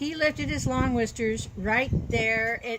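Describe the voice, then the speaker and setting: A woman in a put-on character voice sounds gruff and growling at a fairly high pitch. She speaks at a fairly slow pace over clear background noise. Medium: read story.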